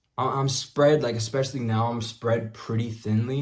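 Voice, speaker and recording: At a moderate pace, a man with a medium pitch speaks in a somewhat breathy voice with monotone, flat intonation and audible room echo. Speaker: self-improvement vlogger and musician. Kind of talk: casual monologue.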